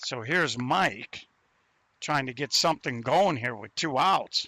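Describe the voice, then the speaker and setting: The voice has a bright, sharp tone and lively intonation at a fairly slow pace. The sound is dry and close, with no echo. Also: man. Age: 60s. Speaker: sports commentator. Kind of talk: live commentary.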